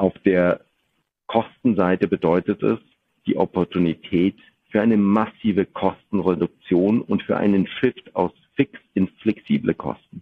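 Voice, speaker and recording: This is an ordinary speaking voice, a man talking at a fairly slow pace with fairly low pitch and fairly even intonation. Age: 40s. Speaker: business executive. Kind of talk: interview. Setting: video podcast recording.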